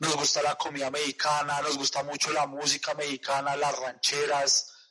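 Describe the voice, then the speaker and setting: A man with a strong Colombian accent speaks at a moderate pace in a fairly high voice with monotone, flat intonation. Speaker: podcast host. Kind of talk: casual chat.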